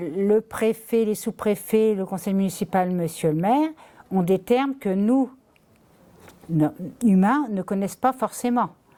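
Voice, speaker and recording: A woman speaks at a very slow pace in a fairly high pitch, her tone dark and mellow. Her intonation is lively, and the recording is very clean with a silent background. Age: 60s. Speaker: citizen council member. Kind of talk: interview testimony.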